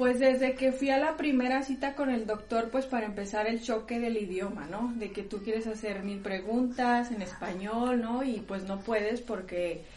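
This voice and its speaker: Delivery is at a moderate pace with hardly any pauses and ordinary pitch variation. Noticeable background noise is present. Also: woman, fairly high pitch for a woman. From Mexico, Durango. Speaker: mother living abroad. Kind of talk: interview.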